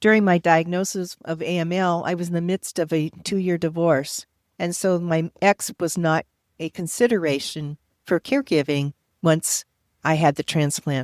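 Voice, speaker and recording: A woman's ordinary speaking voice at fairly low pitch and moderate pace, dry and close with no echo, in a very clean recording with a silent background. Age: 60s. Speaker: cancer survivor. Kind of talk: interview.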